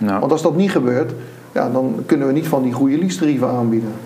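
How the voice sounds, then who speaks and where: A man's fairly high voice with ordinary pitch movement, audible room echo and noticeable background noise. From Netherlands, Rotterdam area (Nieuwerkerk aan den IJssel). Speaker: lease specialist and entrepreneur. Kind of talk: casual interview. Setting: in-person recording with camera.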